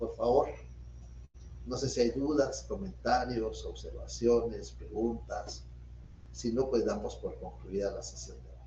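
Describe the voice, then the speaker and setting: Amid audible room echo, a man speaks at a fairly slow pace with long, frequent pauses and big swings in loudness. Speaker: law professor. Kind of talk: lecture. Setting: video call.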